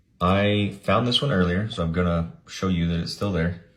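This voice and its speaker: A man's very deep, low, somewhat breathy voice with ordinary pitch variation. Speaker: government contracting educator. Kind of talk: screen-share tutorial. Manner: casual, conversational.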